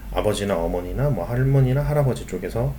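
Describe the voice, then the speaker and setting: A man talks at a fairly quick pace with lively intonation, and the room echo is audible. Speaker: school teacher. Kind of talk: online lecture.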